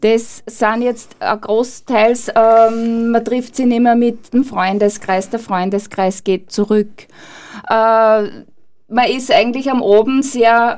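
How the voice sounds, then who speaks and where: Very slow speech from a woman with a fairly high pitch and fairly even intonation. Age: 50s. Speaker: burnout prevention trainer. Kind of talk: radio interview.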